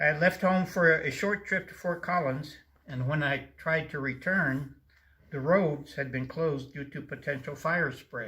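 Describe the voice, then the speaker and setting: A man's fairly high, bright, sharp voice at a fairly slow pace, with ordinary pitch variation. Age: 70s. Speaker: wildfire victim, retired construction worker. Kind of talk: personal testimony.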